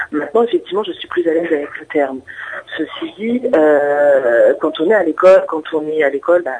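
This woman talks at a moderate pace. There is noticeable background noise behind her. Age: 30s. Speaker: guest sharing personal story. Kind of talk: testimony. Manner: halting.

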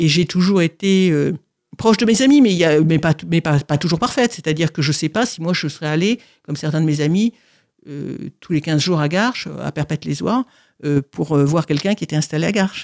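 A woman's fairly low voice at a fairly quick pace, with long, frequent pauses, ordinary pitch variation, and a very clean recording against a silent background. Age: 60s. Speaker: author with paraplegia. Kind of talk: testimony. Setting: studio. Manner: halting.

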